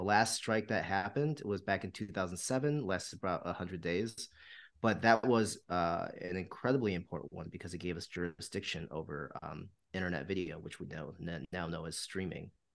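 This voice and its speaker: Over a quiet background, a man with an American accent talks at a fairly quick pace in a very deep, low voice with lively intonation. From US Midwest, Michigan. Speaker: TV writer and producer. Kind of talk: casual chat.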